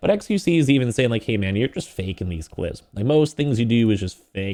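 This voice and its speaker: Over a silent background in a very clean recording, a man talks at a fairly quick pace with lively intonation and a medium pitch. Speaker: gaming news commentator. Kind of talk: casual commentary video. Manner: fast; animated.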